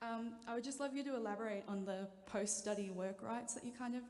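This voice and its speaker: A woman with an Australian accent talks at a fairly quick pace with fairly even intonation. Audible room echo and noticeable background noise are present. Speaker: student audience member. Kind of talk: audience question.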